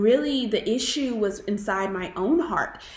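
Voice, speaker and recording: Audible room echo surrounds the speech. A woman takes a fairly slow pace. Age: 20s. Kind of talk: testimony.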